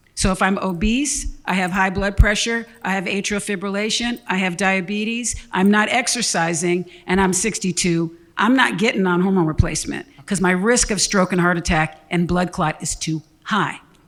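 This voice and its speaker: A woman at a moderate pace, her pitch medium for a woman. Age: 60s. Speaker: physician, women's health doctor. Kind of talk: health Q&A panel. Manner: animated, casual.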